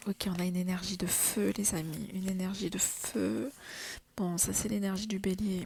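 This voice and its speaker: A soft-spoken woman's somewhat breathy voice, medium in pitch, at a fairly slow pace with fairly even intonation. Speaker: tarot reader. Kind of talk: tarot reading. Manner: halting.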